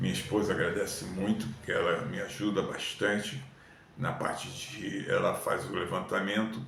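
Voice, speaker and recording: Through noticeable background noise and audible room echo, a man talks at a fairly slow pace. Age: 70s. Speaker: YouTuber. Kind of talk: casual talk to camera. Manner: casual conversational.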